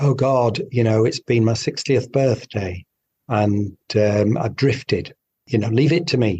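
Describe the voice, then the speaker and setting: A dark, mellow, somewhat breathy voice with a British accent, ordinary pitch variation and a moderate pace. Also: man. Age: 60s. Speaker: doctor. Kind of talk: interview. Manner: animated.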